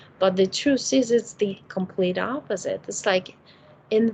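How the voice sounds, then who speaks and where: A woman is heard speaking over noticeable background noise. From Ukraine. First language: Russian or Ukrainian. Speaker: spiritual healer. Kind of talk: casual chat. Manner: gentle.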